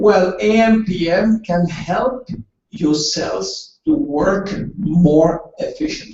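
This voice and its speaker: A man with a non-native accent speaks at a high pitch and a very slow pace. His intonation is lively. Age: 70s. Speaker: doctor giving product presentation. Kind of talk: sales presentation with consecutive interpretation. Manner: halting.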